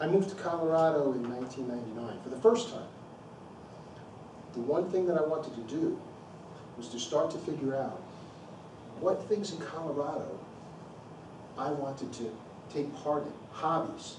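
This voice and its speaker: A man with an American accent, fairly high in pitch with ordinary pitch variation, at a moderate pace with long, frequent pauses and big swings in loudness, amid noticeable background noise and audible room echo. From Long Island, New York. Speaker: amateur public speaker. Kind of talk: prepared speech. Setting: club meeting with audience.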